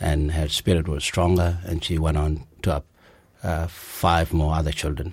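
A man speaks at a fairly slow pace in a very deep, low voice. His intonation is fairly even and somewhat breathy. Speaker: refugee and criminal lawyer. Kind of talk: interview about life story. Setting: recorded venue interview. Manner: halting.

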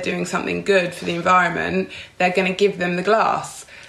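Over noticeable background noise, a woman with a London accent speaks in a monotone, flat intonation. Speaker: beauty PR. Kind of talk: casual chat.

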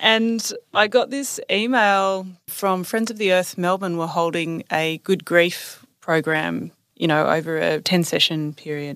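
On a very clean recording with a silent background, a woman with an Australian accent speaks fairly slowly at a fairly low pitch. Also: ordinary pitch variation. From Australia, Newcastle NSW. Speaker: author and climate campaigner. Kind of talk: interview.

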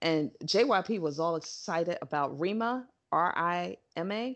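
An unremarkable speaking voice with ordinary pitch variation, in an American accent. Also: woman. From New York. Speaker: podcast co-host. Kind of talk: casual chat.

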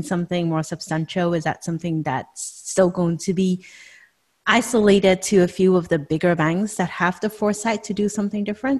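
In a very clean recording with a silent background, a woman speaks in a somewhat breathy voice. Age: 40s. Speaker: podcast host. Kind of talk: casual chat.

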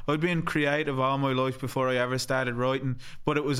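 With an Irish accent, a man speaks in a bright, sharp tone and a monotone, flat intonation. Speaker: podcast host. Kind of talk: casual chat.

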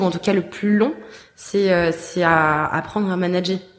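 Against noticeable background noise, a woman with a fairly low voice speaks very slowly with fairly even intonation. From France, Paris. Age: 20s. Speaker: tech entrepreneur, app founder. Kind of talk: interview. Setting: office. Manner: halting, many fillers and repetitions.

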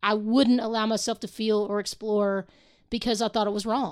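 A plain, everyday voice from a woman, fairly high in pitch, at a moderate pace on a very clean recording with a silent background. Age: 40s. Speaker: singer-songwriter. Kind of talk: casual chat.

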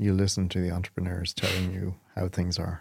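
The speaker talks at a fairly quick pace with an Irish accent. The recording is very clean, with a silent background. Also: man. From Ireland. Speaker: agency chief executive. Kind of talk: interview.

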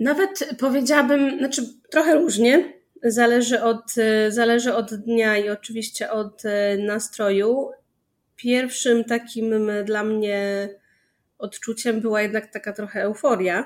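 Talking at a very slow pace, a woman with a fairly high pitch and ordinary pitch variation is heard on a very clean recording with a silent background. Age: 30s. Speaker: PR and communications specialist in gaming industry. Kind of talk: casual interview. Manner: halting.

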